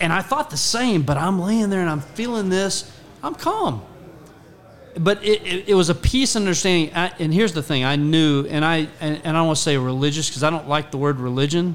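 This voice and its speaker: Amid noticeable background noise, a man with an American accent talks at a fairly quick pace in a high pitch. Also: ordinary pitch variation. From Texas, Rockwall. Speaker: guest. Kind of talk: casual chat. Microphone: far from the mic.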